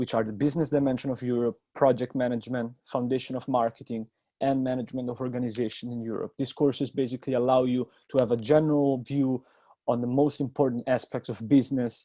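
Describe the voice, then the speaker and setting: A man with an Italian accent, medium-pitched, monotone and flat, at a very fast pace. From Italy, Rome. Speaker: university student. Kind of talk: presentation.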